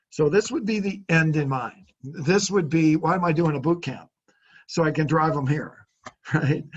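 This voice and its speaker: With an unremarkable speaking voice, a man speaks at a moderate pace, his fairly high pitch showing ordinary variation. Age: 60s. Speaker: car sales trainer. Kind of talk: business coaching consultation.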